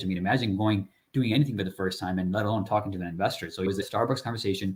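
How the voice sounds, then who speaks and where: Somewhat breathy and fairly low in pitch, a man speaks with ordinary pitch variation on a very clean recording with a silent background. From immigrant from a developing country, raised in US (Chicago area). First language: not English. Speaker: multifamily real estate investor. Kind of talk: podcast interview. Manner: casual, conversational.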